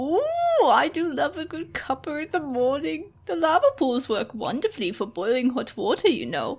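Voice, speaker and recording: A woman speaks in a put-on character voice with a high pitch, running along with hardly any pauses. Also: moderate pace. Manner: prim, scolding old-fashioned.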